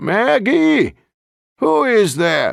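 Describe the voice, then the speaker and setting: A man's put-on character voice, high in pitch with very wide pitch swings. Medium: read story.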